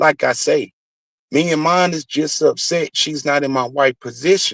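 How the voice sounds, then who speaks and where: A man with a fairly high pitch and ordinary pitch variation talks at a moderate pace on a very clean recording with a silent background and a dry, close sound with no echo. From US South. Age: 40s. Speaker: YouTube streamer. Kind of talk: heated rant. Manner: animated.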